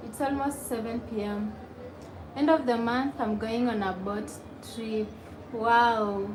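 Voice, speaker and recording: A woman's fairly high voice at a very slow pace with long, frequent pauses, amid audible room echo and noticeable background noise. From Kenya, Nairobi. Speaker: YouTuber. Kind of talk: live stream chat reading comments. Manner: casual, chatty.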